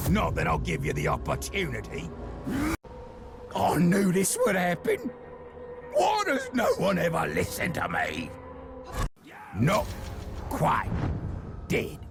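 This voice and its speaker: A man shouts in a put-on character voice at a fairly slow pace. Background noise is clearly audible. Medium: game stream. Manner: condescending, lecturing.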